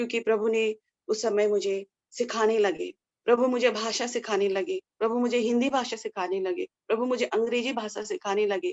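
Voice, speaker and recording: With a Nepali accent, a woman talks at a fairly high pitch with ordinary pitch variation. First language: Nepali (speaking Hindi). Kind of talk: testimony. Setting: indoors in a room at home. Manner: halting, with false starts.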